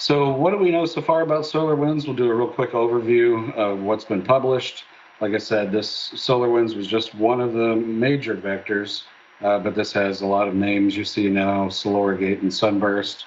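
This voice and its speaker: Light background noise is present. The man holds a moderate pace and his pitch varies in an ordinary way. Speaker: presenter. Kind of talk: conference presentation. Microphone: webcam.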